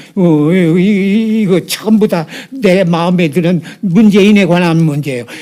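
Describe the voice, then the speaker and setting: A man speaks with a high pitch, ordinary pitch variation and very even loudness, at a fairly slow pace. Noticeable background noise runs underneath. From South Korea, North Jeolla. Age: 80s+. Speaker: former North Korean spy. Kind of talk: interview answer. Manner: halting, stammering.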